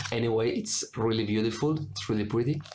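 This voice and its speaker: In a room with audible echo, a man talks with a Spanish accent. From Spain. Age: 20s. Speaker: cross stitch video maker. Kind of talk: casual show-and-tell vlog. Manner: halting, with many fillers and self-corrections.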